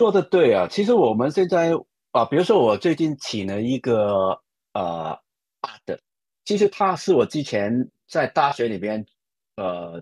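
In a Hong Kong accent, a man speaks loudly and fairly slowly at a medium pitch. His pitch swings very widely, and the sound is dry and close with no echo. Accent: Hong Kong-accented Mandarin. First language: Cantonese (speaking Chinese). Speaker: advertising creative director. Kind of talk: interview. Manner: animated, laughs loudly.

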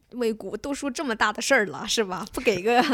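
Lively intonation from a woman with a fairly high pitch, at a very fast pace. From Beijing, China. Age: 20s. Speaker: former national team diver. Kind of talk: casual chat.

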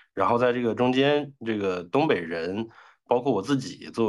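A man speaks in an ordinary speaking voice at a moderate pace against a quiet background. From Northeast China, Daqing. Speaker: podcast guest. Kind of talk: casual chat.

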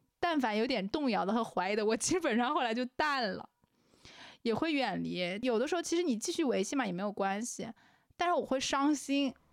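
A woman's high voice, lively in intonation and fairly quick. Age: 20s. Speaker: podcast co-host. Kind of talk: casual chat.

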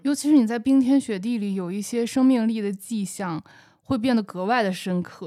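A woman speaks at a moderate pace with a fairly high pitch, ordinary pitch variation and a dark, mellow tone. The recording is very clean, with a silent background. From Shandong, northern China. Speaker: podcast co-host. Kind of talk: casual chat.

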